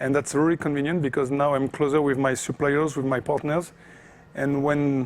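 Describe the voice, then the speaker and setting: A man with a French accent talks at a moderate pace and a fairly high pitch. His intonation is monotone and flat, and his loudness stays very even. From France. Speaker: off-road racing driver. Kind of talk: interview. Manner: hesitant, many fillers.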